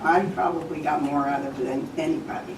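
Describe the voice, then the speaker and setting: A woman speaks with an American accent and lively intonation. Noticeable background noise and audible room echo fill the recording. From New Jersey, Morris Township. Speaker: community volunteer and former mayor. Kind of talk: acceptance speech. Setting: town committee meeting.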